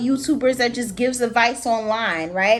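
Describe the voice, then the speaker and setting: A woman speaks with a high pitch. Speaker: tarot reader. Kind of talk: tarot reading. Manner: casual, halting.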